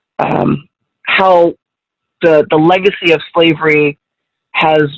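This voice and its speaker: In an American accent, a woman talks with a very deep, low pitch. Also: dry, close sound with no echo. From Southern California. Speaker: journalist. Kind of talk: guest talk Q&A. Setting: video call. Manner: halting.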